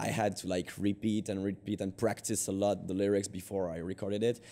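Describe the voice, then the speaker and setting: A man speaks with a French accent and a dark, mellow tone. The recording is very clean, with a silent background. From France. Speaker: band singer. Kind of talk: interview. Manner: halting, many fillers.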